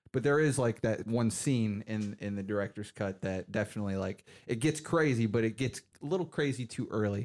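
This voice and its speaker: At a fairly quick pace, a man speaks in a normal speaking voice with medium pitch and ordinary pitch variation. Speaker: film podcast co-host. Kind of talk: casual chat.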